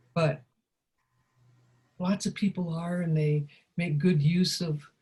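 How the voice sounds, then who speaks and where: A woman speaks in a fairly low pitch with a dark, mellow tone, fairly even intonation, and a somewhat breathy quality. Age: 80s+. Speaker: life coach and teacher. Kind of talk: interview. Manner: halting.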